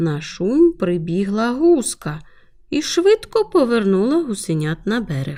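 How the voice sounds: A natural reading voice carries the clip. It is heard all the way through.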